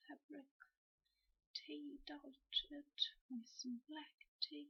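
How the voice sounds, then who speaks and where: The speaker is soft-spoken. The pace is very slow. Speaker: cosplayer. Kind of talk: ASMR costume walkthrough. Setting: old headset recording.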